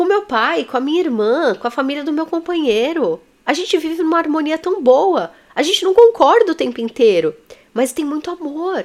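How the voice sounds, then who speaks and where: Her voice sits high as the woman talks at a medium speed. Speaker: therapist and teacher. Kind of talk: online lesson.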